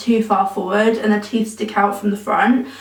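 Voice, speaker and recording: With an English accent, a woman speaks at a moderate pace and with fairly even intonation, her voice carrying audible room echo. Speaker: vlogger. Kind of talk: personal vlog. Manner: casual, many filler ums.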